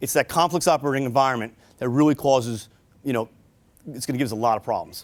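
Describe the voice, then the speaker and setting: A man with a New York accent at a very fast pace, ordinary pitch variation, in a very clean recording with a silent background. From New York City. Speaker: army officer and police detective. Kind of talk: military briefing talk. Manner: halting, many fillers.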